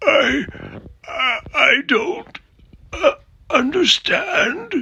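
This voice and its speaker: In a put-on character voice, the speaker mumbles at a very slow pace with an extremely high pitch that swings very widely, sounding guttural and raspy. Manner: bewildered, mumbling, faltering.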